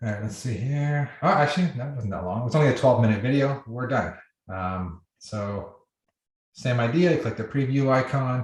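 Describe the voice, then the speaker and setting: A somewhat breathy male voice with ordinary pitch variation. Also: medium pitch for a man. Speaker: software company founder giving product demo. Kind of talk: live webinar tutorial. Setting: video call. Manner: fast.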